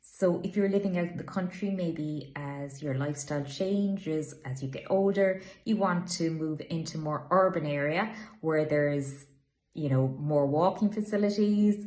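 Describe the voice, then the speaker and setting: A woman's fairly low-pitched, somewhat breathy voice. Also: ordinary pitch variation, moderate pace. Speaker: estate agent. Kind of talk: informational talk to camera. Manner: casual, conversational.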